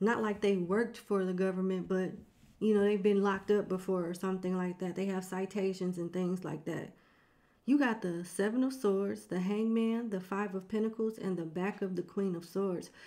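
The intonation is fairly even. A woman talks at a moderate pace. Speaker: tarot reader. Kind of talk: tarot reading commentary. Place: home room. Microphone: studio mic.

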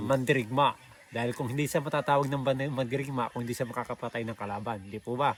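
Very fast speech from a man, medium in pitch, with fairly even intonation. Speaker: vlogger interviewer. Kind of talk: casual talk to camera.

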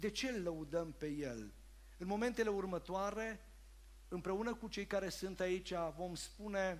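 A man with a high pitch speaks at a fairly slow pace, his pitch varying in an ordinary way. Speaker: church service host. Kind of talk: sermon-style announcement. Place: church. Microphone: headset.

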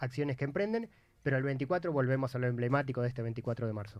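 A man's voice with ordinary pitch variation, dry and free of echo. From Argentina. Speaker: radio host. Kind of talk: radio interview. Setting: studio. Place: studio. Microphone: studio mic.

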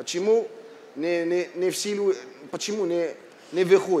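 A man's high-pitched voice at a moderate pace, over light background noise. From Morocco. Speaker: architect; speaker. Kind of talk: panel talk. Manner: halting. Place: hall. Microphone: headset.

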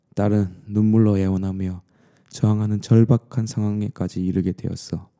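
A man speaks at a moderate pace with a dark, mellow tone. The recording is very clean, with a silent background. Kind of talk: bedtime story ASMR. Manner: soft-spoken, intimate.

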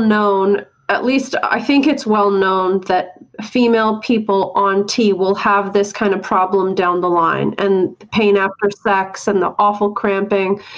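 A woman with a medium-pitched voice talks at a fairly slow pace and with fairly even intonation against noticeable background noise. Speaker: therapist and podcast co-host. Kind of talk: interview.

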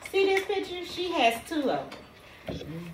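A woman uses a raised, projected voice. Audible room echo and light background noise surround her. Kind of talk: casual vlog chat. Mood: playful complaining. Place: office. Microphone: camera far.

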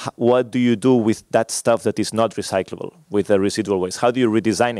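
A man talking at a fairly quick pace, with ordinary pitch variation, a dry sound with no echo and a quiet background. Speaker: conference presenter. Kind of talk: lecture. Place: hall. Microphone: podium.

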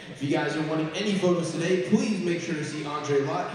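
A man speaks in a room with strong echo. Light background noise is present. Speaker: public address announcer. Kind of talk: arena announcement. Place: hall. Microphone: pa.

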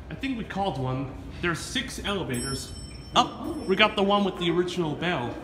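Noticeable background noise surrounds a man speaking at a moderate pace. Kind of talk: casual narration commentary. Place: station. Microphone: phone near.

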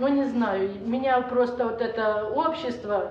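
Amid light background noise and audible room echo, a woman speaks very slowly at a high pitch with fairly even intonation. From Donbas, eastern Ukraine. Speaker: war-zone resident. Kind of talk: testimony. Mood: weary, bitter. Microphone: camera far.

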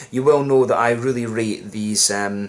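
The man talks at a fairly quick pace. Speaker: beer reviewer. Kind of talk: casual review chat. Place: home room. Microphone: camera far.

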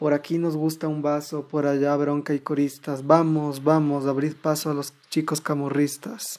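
Here a man speaks at a fairly high pitch and a fairly slow pace. His intonation is monotone and flat. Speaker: audiobook narrator. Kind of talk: horror audiobook reading, dramatic narration of a story. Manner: tense, suspenseful, building dread with slow deliberate pacing.

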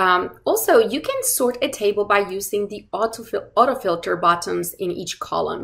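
The woman's voice sits over a quiet background. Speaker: course instructor. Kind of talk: tutorial. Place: home room. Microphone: webcam.

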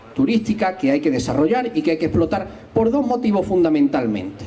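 A man's high-pitched voice moves through very wide pitch swings. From not from Algarrobo, moved there a few years ago. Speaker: history teacher and local party candidate; election candidate. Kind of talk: political rally speech. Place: garden. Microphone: handheld.

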